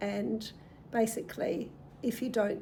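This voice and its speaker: In an Australian accent, a woman with a fairly high pitch and a dark, mellow tone talks at a very slow pace with vocal fry. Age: 60s. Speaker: retiree and lifestyle vlogger. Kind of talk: casual talk to camera.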